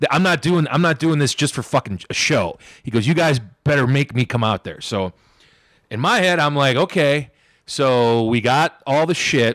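Lively in intonation, a man with a fairly high pitch talks at a moderate pace, the sound dry and close with no echo. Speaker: professional wrestler. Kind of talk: casual chat. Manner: animated storytelling.

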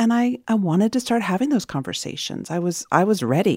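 A woman with a plain, everyday voice talks at a fairly quick pace with lively intonation. The recording is very clean, with a silent background. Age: 40s. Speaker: entrepreneur and podcast host. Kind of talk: interview conversation.

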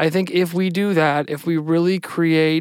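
The speaker has an Ohio accent. The recording is very clean, with a silent background. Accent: Midwestern American (Ohio). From Cleveland, Ohio. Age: young. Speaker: city councilman. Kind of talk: interview conversation.

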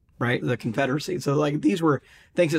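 His words come very fast as a man talks at a fairly high pitch, his pitch varying in an ordinary way. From US South, Mississippi. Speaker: author and pollster. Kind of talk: interview.

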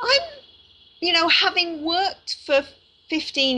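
A woman speaks over noticeable background noise. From Canada. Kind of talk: podcast interview.

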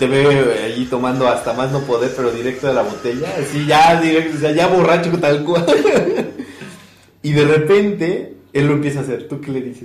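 With audible room echo and noticeable background noise, a man talks at a fairly high pitch and a moderate pace, with ordinary pitch variation. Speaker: podcast co-host. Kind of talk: casual chat. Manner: animated.

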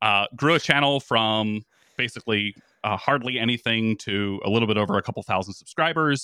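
A man speaks at a fairly quick pace with a fairly low pitch, a clear, smooth yet bright, sharp tone and ordinary pitch variation, in a dry, close sound with no echo.

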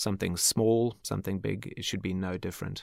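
In a very clean recording with a silent background, a man with an Australian accent speaks in a very deep, low pitch and a monotone, flat intonation. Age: 40s. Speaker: architect. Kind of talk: interview.

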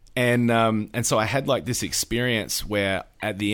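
Someone speaks with an Australian accent in a very clean recording with a silent background. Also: man. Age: 40s. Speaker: pastor. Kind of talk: casual interview.

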